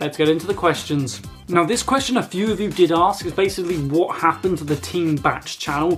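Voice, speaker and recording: A man with a British accent, high-pitched, at a fairly quick pace with ordinary pitch variation and music in the background. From UK. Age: young. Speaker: YouTuber and gamer. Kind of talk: casual talk to camera.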